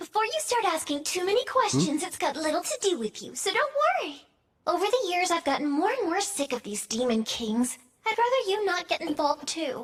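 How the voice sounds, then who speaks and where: In a put-on character voice, a female-sounding speaker goes fairly quickly at an extremely high pitch with very wide pitch swings. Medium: fan dub. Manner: playful, dramatic.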